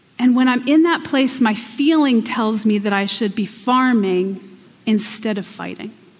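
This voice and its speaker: Someone with an American accent talks at a fairly slow pace with ordinary pitch variation, with noticeable background noise and audible room echo. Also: woman. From Pennsylvania. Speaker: guest preacher. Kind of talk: sermon. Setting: church.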